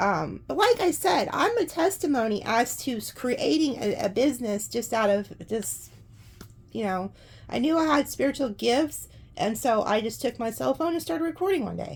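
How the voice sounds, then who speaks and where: A woman speaks in a high voice at a moderate pace. Her pitch swings very widely. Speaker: tarot reader. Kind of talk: tarot reading with casual chat. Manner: casual, rambling with fillers.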